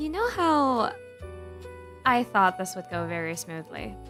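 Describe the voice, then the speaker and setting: Music can be heard in the background. Over it, a woman talks at a very slow pace. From Philippines. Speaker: VTuber and digital artist. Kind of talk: casual talk to camera, ASMR stream.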